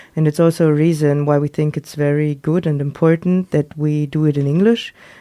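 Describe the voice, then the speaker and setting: In a non-native accent, a woman talks at a fairly quick pace with a very deep, low pitch and a dark, mellow tone. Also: fairly even intonation, quiet background. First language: not English. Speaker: radio host. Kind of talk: casual chat. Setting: studio.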